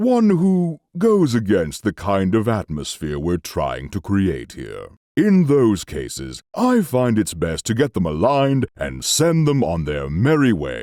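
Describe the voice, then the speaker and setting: A man puts on a cartoonish character voice at a medium pitch. He goes at a fairly slow pace with hardly any pauses. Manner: measured, ominous.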